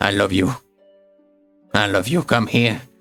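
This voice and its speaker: Over music in the background, a man growls in a put-on character voice. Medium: actual play. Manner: grandiose, rambling, fawning.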